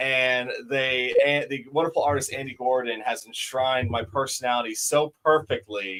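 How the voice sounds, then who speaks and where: This man has an unremarkable speaking voice, medium in pitch and fairly even in intonation, and he moves at a moderate pace. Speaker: comic shop co-host. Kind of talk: casual chat.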